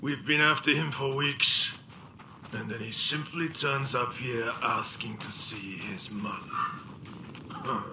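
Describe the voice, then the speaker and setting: In a put-on character voice, a man speaks at a medium pitch and a fairly slow pace over clear background noise. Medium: video game. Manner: grim, clipped.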